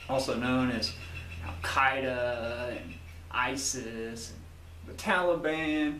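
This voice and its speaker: Amid noticeable background noise and audible room echo, a man at a medium pitch speaks at a very slow pace with long, frequent pauses and very wide pitch swings. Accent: Southern US. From US South. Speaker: YouTuber. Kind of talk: video monologue.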